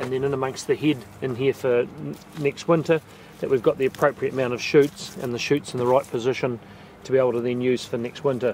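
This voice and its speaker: Over noticeable background noise, a man with a New Zealand accent and medium pitch talks at a very fast pace in a monotone, flat intonation. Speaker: vineyard manager. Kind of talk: walking tour narration. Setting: outdoors. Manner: quiet.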